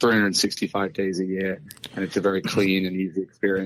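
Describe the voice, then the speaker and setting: A man with a British accent and fairly low pitch at a fairly quick pace, on a very clean recording with a silent background. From UK. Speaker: farming tech co-founder. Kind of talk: interview.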